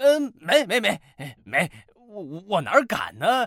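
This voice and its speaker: Speaking at a fairly slow pace, a man adopts a put-on character voice. The pitch is high. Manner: stammering, fearful.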